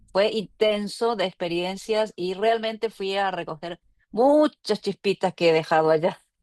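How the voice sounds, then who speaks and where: A woman with a Chilean accent speaks at a medium pitch with ordinary pitch variation, in a dry, close sound with no echo. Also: fairly slow pace, quiet background. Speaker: course participant. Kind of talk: casual group check-in.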